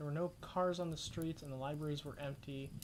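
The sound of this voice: A mumbling woman with a very deep, low pitch, ordinary pitch variation and a fairly quick pace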